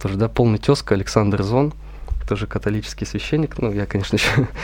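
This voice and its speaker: Over noticeable background noise, a man with a fairly low pitch speaks at a very fast pace in a fairly even intonation. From Russia, Veliky Novgorod. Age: 20s. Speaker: seminarian. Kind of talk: radio interview.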